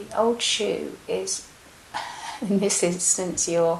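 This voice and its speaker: A soft-spoken woman talks in a calm tone at a very slow pace. Background noise is noticeable. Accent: English. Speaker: meditation guide. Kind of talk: guided meditation. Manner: soft-spoken, slow, calm.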